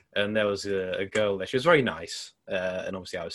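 A man with an English accent against a quiet background. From England. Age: 20s. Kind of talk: casual chat.

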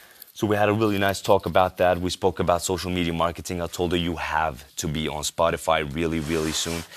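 With a Danish accent, a man speaks fairly quickly in a very deep, low voice with fairly even intonation. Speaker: podcaster, social media marketer. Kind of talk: solo monologue. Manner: halting, many fillers and repeats.

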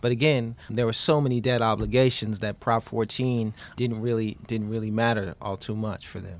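A man with an American accent speaks at a moderate pace and medium pitch with hardly any pauses. He has an ordinary speaking voice and fairly even intonation. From Queens, New York. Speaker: history professor. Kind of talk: academic interview.

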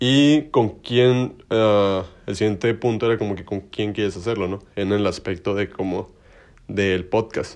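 Over a quiet background, a man with a Mexican accent speaks at a fairly low pitch. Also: ordinary pitch variation, fairly slow pace. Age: 20s. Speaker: podcast host. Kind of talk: casual monologue. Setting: bedroom. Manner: informal slangy.

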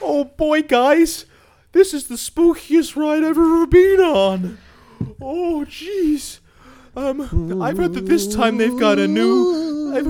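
The voice is high-pitched and the pace very slow. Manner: excitable, goofy, over-the-top.

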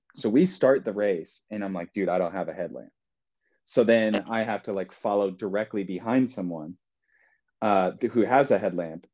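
Against a quiet background, a man with an unremarkable speaking voice talks at a moderate pace, his fairly low pitch showing ordinary pitch variation. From US Midwest. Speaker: graduate student, fiction author and ultrarunner. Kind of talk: casual chat.

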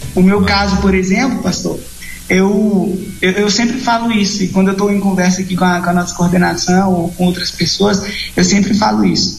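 A man speaks at a moderate pace in a high, monotone voice with very even loudness. Audible room echo and noticeable background noise surround him. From Pará, Brazil (Redenção). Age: 20s. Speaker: missionary. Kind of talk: interview.

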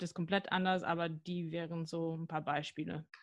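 Fairly low-pitched woman with an American accent, fairly slow and fairly even in intonation, on a very clean recording with a silent background. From US, near Washington DC. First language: English (speaking German). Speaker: sport psychologist and neuroscientist. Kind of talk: podcast interview.

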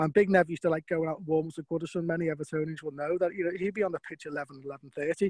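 Talking at a very fast pace, a man with a fairly high pitch keeps a fairly even intonation. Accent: Liverpool. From Liverpool, England. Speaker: former footballer and football agent. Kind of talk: casual interview.

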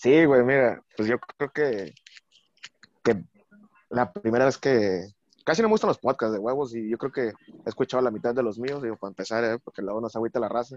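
A man's normal speaking voice, medium in pitch with ordinary pitch variation, at a fairly quick pace, in a dry, close sound with no echo. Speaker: bartender and Twitter personality. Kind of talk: casual chat.

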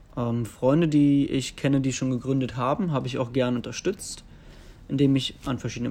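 A man speaks at medium pitch and a fairly quick pace. He has an ordinary speaking voice with fairly even intonation. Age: 20s. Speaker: investment analyst. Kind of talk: recorded interview answers.

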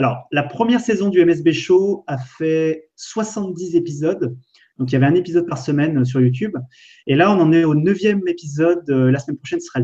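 Dark and mellow in tone, a man's high-pitched voice runs at a fairly quick pace with ordinary pitch variation. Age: 30s. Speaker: entrepreneur and web video creator. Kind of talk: casual live stream chat. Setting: online live video stream.

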